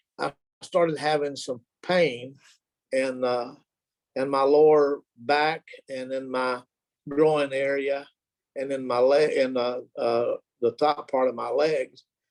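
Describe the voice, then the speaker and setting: A man with a Southern US accent, fairly high-pitched, flat and monotone, at a very slow pace with long, frequent pauses, in a dry, close sound with no echo. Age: 70s. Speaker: retiree sharing health testimony. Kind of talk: testimony. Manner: halting, many fillers.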